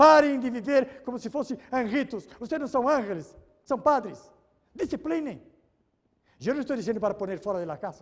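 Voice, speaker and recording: This man's pitch is extremely high, and his intonation is lively with an animated tone. He keeps a moderate pace broken by long, frequent pauses. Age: 70s. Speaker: pastor. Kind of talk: sermon. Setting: church.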